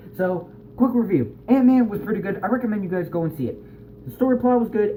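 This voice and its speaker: This man has a high voice. His pitch swings very widely. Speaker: amateur video reviewer. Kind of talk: casual movie review vlog. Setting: at home. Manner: fast; hyperactive.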